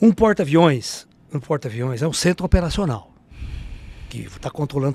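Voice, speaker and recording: A man's somewhat breathy voice at a fairly high pitch, with lively intonation, a moderate pace and a dry sound with no echo. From Brazil. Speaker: ufologist and spiritualist speaker; speaker. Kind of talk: casual interview storytelling. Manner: animated. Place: studio. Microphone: studio mic.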